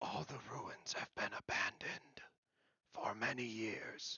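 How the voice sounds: Raspy and put on, this character voice moves along at a fairly slow pace.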